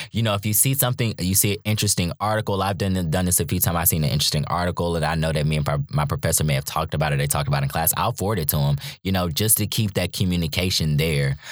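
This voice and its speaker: An animated, very fast delivery in an American accent, with very even loudness. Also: man, very deep, low pitch for a man, ordinary pitch variation, hardly any pauses. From North Carolina (Charlotte). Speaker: graduate student, former biology undergraduate. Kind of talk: casual interview.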